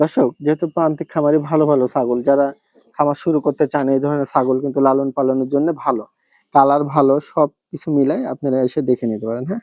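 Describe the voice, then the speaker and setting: Over a quiet background, a man speaks in a fairly high pitch with a dark, mellow tone and fairly even intonation, in a dry, close sound with no echo. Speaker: livestock farm vlogger. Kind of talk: farm tour presentation.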